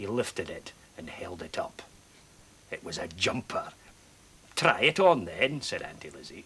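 The speaker whispers at a moderate pace, with long, frequent pauses. Loudness swings widely throughout. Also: man. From Scotland. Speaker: storyteller. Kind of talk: children's story reading. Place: studio.

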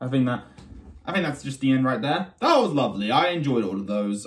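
A man rattles along at a very fast pace. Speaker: reaction video creator. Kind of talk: casual reaction commentary. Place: home room. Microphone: phone near.

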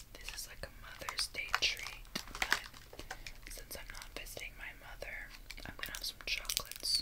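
A woman whispers, soft-spoken. She keeps a moderate pace. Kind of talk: casual eating vlog chat, ASMR-like. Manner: soft ASMR whisper. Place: home room. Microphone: phone near.

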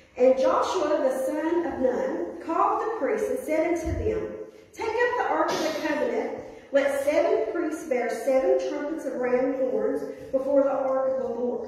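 Strong room echo surrounds a woman whose high-pitched voice makes very wide pitch swings. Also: moderate pace. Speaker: pastor. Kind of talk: scripture reading in sermon. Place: church. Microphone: camera far.

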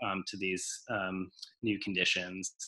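Against a quiet background, a man speaks at a moderate pace. His tone is bright and sharp. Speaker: event host or editor. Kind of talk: event introduction and announcements. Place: home room. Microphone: video call.

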